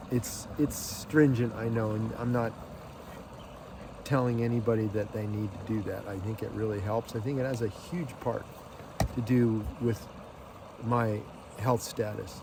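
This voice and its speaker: Long, frequent pauses break up this man's fairly slow delivery at a medium pitch. His intonation is fairly even, and background noise is noticeable. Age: 60s. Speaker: lifestyle vlogger. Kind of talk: casual vlog monologue. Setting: outdoors on a lake.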